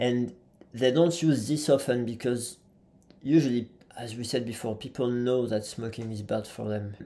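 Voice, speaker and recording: With a French accent, a man talks at a moderate pace in a medium pitch, his dark, mellow tone showing ordinary pitch variation and big swings in loudness. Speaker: physiotherapist and trainer. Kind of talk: podcast interview. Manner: halting.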